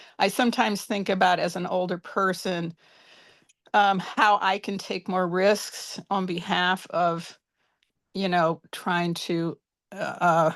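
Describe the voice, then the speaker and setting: Against a quiet background, a woman with a medium pitch speaks at a very slow pace, with fairly even intonation and long, frequent pauses. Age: 70s. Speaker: audience member asking questions. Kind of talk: Q&A question on video call. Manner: halting.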